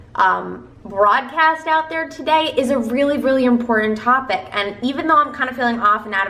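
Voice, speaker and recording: With an American accent, a woman at a high pitch speaks at a very fast pace with ordinary pitch variation, amid audible room echo and noticeable background noise. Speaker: self-help video creator. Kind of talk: motivational talk to camera. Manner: stumbling over words.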